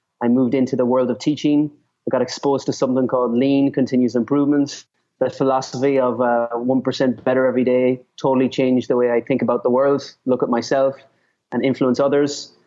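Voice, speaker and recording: A man's very fast, monotone delivery in a medium pitch with an Irish accent and flat intonation. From Ireland. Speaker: author and speaker on leadership. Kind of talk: interview. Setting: call.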